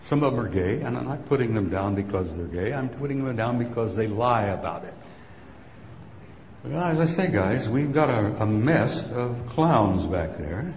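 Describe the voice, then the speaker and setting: Male speech with an American accent, medium pitch and lively intonation at a moderate pace, over noticeable background noise. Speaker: retired army sergeant major, UFO speaker. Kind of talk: conference talk to live audience. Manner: rambling, impassioned.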